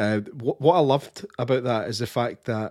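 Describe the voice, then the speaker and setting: Speaking at a moderate pace, a man with a Scottish accent has a medium pitch. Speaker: podcast co-host. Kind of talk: live podcast interview.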